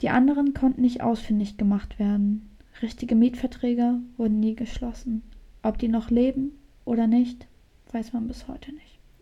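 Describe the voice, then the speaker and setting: Soft-spoken and dark, mellow in tone, a woman talks at a moderate pace in a high, flat monotone with big swings in loudness. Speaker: true crime podcast co-host. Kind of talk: casual chat with true crime storytelling. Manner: soft-spoken, quiet. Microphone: too quiet.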